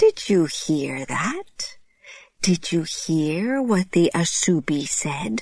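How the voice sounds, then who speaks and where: At a very slow pace, a put-on character voice sits at a middle pitch. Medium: read story. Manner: smug, taunting.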